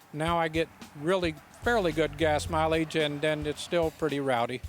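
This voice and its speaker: Over music in the background, a man with a fairly high pitch talks at a fairly quick pace with fairly even intonation. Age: 60s. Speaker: hot rod owner. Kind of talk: casual interview.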